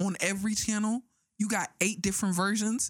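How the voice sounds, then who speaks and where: Animated in tone, a woman talks with an American accent. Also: very clean recording, silent background. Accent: fake New York accent at times. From Arizona, US. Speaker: podcast host. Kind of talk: casual chat. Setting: studio.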